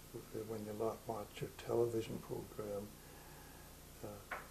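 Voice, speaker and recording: Amid noticeable background noise and audible room echo, a man speaks at a moderate pace with a fairly low pitch and monotone, flat intonation. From Ontario, Canada. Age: 70s. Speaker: retired pastor. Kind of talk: interview. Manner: halting, many fillers.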